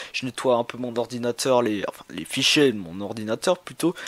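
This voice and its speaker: The man's voice sounds dry and close, with no echo, at a moderate pace. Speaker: YouTuber, figurine collector. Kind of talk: casual vlog talk. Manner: halting.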